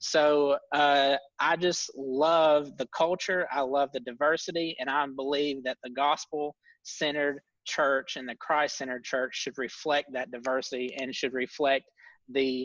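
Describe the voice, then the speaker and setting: A man with a Tennessee accent speaks fairly slowly in a fairly high, monotone pitch with flat intonation, over a quiet background with a dry, close sound and no echo. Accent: Southern US (Tennessee). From US South, Tennessee. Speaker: ministry co-founder. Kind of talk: casual chat. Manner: frequent filler words.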